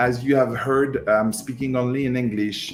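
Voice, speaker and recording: Music in the background behind a man at a moderate pace. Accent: French. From France. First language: French. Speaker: online music teacher. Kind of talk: live stream announcement. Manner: halting.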